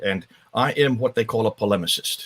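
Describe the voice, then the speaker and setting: A man with an American accent speaks at medium pitch. The sound is dry and close, with no echo. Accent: sounds American, learned in India. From northern India (Himalayas), American missionary family. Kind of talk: interview.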